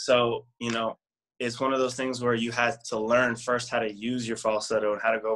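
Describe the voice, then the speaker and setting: A man with a normal speaking voice, medium pitch and a fairly quick pace. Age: 30s. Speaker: singer and performer. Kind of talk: interview. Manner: casual, many fillers.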